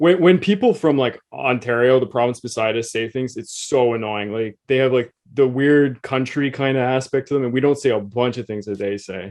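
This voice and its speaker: An unremarkable speaking voice belongs to a man of medium pitch, with ordinary pitch variation. He keeps a moderate pace with hardly any pauses. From Quebec, Canada (English-speaking). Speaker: podcast co-host. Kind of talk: casual chat.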